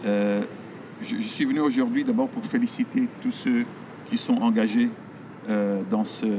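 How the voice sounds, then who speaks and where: A man with a Belgian accent speaks at a fairly slow pace, pausing long and often. Noticeable background noise sits behind him. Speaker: veterinarian. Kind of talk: public speech at campaign event. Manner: hesitant, many fillers.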